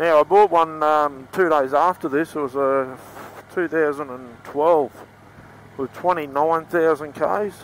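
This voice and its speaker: A man with an Australian accent speaks very slowly at a fairly high pitch, his intonation fairly even, over light background noise in a dry recording with no echo. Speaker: motorcycle dealer and vlogger. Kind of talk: casual ride-along vlog narration. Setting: outdoors riding a motorcycle. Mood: relaxed, joking. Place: motorbike. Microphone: helmet.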